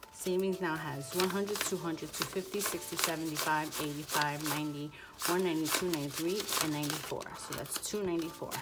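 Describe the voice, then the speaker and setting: A quiet, very fast woman's voice, fairly low in pitch with fairly even intonation, amid noticeable background noise and audible room echo. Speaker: budgeting vlogger. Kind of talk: casual tutorial, counting cash. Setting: home, apartment with thin walls. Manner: quieter, lowered voice.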